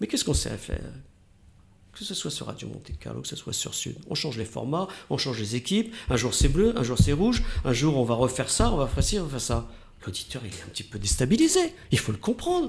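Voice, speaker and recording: Fairly quick male speech with big swings in loudness. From northern France, Oise. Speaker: radio host. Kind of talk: interview.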